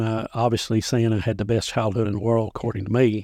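A man with a Tennessee accent talks at a fairly quick pace in a medium pitch, against a quiet background. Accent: Southern US (Tennessee). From Middle Tennessee (Dickson County). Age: 50s. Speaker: county sheriff. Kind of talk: casual interview. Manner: halting, many fillers.

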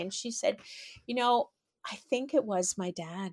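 A woman with a Canadian accent and an unremarkable speaking voice talks at a moderate pace with a fairly high pitch and lively intonation, on a very clean recording with a silent background. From Canada, Toronto. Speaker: author. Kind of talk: interview storytelling.

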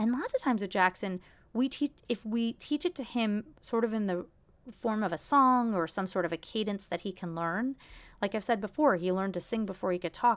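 Over a silent background in a very clean recording, a woman talks in an ordinary speaking voice at a moderate pace with ordinary pitch variation. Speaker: podcast host, actor and mom. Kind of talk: solo podcast monologue, casual storytelling. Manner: conversational, chatty, fillers and self-corrections.

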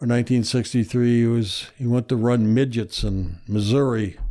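On a very clean recording with a silent background, a man with a dark, mellow tone talks at a moderate pace with fairly even intonation. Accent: Midwestern American. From US Midwest. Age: 60s. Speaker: retired history professor and author. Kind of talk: casual interview.

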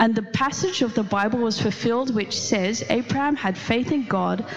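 A woman with lively intonation at a fairly slow pace, music in the background. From Netherlands. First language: Dutch. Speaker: pastor. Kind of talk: sermon. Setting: church. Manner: animated.

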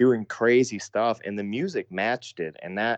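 A man speaks in an ordinary speaking voice at a medium pitch and a moderate pace. The sound is dry and close, with no echo. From US Midwest, Sioux Falls, South Dakota. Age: 30s. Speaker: hardcore band vocalist. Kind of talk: casual interview chat.

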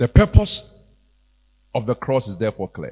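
Somewhat breathy, a man speaks with a dark, mellow tone, and the sound is dry and close with no echo. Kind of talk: sermon. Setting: church. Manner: animated; exhortative.

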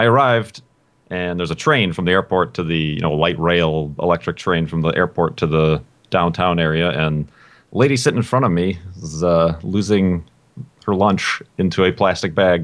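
A man with a very deep, low voice speaks at a moderate pace, and his pitch varies in an ordinary way. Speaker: podcast guest. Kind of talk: casual chat.

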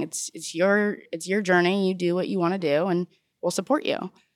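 Medium-pitched woman with a Californian accent, very cleanly recorded against a silent background, dry and close with no echo. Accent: Californian American. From Southern California. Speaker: college student. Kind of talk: interview.

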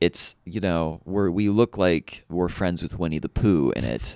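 This man's voice is very deep and low, with vocal fry. His intonation is lively, and the sound is dry and close with no echo. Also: very clean recording, silent background. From Kentucky; Louisville, Kentucky. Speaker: local comedian. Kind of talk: casual comedy podcast chat.

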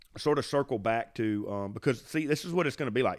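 A man with a Southern US accent, fairly quick, with ordinary pitch variation. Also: very clean recording, silent background. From US South, Mississippi. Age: 50s. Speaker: podcast host, bowhunter. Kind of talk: casual chat. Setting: home studio with dog barking. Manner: casual, rambling.

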